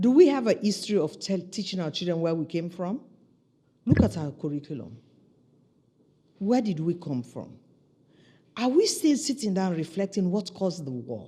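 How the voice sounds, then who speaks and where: A woman speaks at a medium pitch and a moderate pace, with a dark, mellow, somewhat breathy tone. Her pitch swings very widely, and she leaves long, frequent pauses. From Sierra Leone. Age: 60s. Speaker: senior UN official, former presidential aspirant. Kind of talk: interview. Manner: animated.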